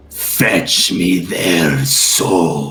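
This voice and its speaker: In a put-on character voice, a man growls and booms at a very deep, low pitch. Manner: menacing, commanding.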